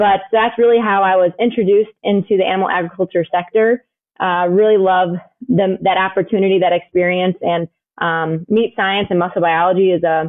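Fairly quickly, a woman with an American accent speaks at a medium pitch in a plain, everyday voice. Her intonation is fairly even and her loudness very even. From US Midwest, Chicago suburbs. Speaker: swine veterinarian. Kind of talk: interview.

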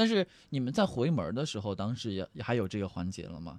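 Pitch swings very widely in this man's voice. He talks at a very fast pace. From Henan, Anyang. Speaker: podcast host. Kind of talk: casual chat. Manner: animated, laughing.

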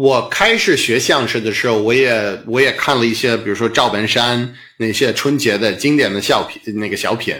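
A man's bright, sharp voice with fairly even intonation, a moderate pace and hardly any pauses, in audible room echo. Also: medium pitch for a man. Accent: English. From US Northeast, Boston. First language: English (speaking Chinese). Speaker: stand-up comedian. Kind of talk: interview conversation. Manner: halting, with fillers.

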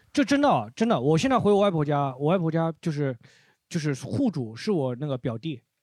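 A man at a fairly high pitch with lively intonation and a fairly quick pace, over a quiet background. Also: dry, close sound with no echo. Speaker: comedy podcast host. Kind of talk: casual chat. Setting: recording room with live audience. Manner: stumbles over words.

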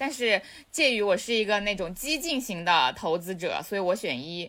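A woman with a Hunan accent, very wide pitch swings and noticeable background noise. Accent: Hunan-accented Mandarin. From Changsha, Hunan, China. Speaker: podcast co-host. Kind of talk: casual chat.

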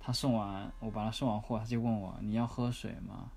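A fairly low-pitched man's voice with audible room echo. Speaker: former working holiday backpacker. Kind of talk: interview.

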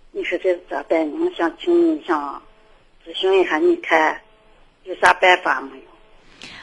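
The speech goes at a fairly slow pace with long, frequent pauses. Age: 60s. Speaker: caller. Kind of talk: call-in consultation. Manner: halting.

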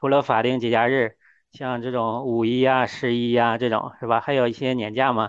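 Against a quiet background, a man speaks fairly quickly at a medium pitch with monotone, flat intonation. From Heilongjiang, northeast China. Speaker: hiker and hardware engineer. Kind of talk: podcast interview. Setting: remote call.

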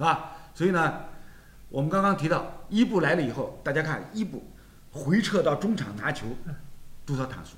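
In a room with audible echo, a man speaks at a moderate pace and a fairly high pitch, with very wide pitch swings and vocal fry. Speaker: football talk show host. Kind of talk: casual chat.

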